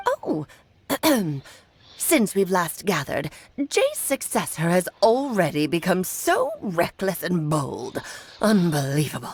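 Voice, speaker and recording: Using a put-on character voice that sounds female, the speaker goes at a fairly slow pace with medium pitch and long, frequent pauses. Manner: imperious, scolding.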